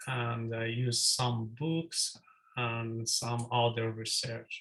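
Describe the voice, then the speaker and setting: Very slowly and in a monotone, flat delivery, a man with a medium-pitched voice speaks in a non-native accent. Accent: non-native English accent (self-remarked). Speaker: student presenter. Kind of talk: presentation. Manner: halting.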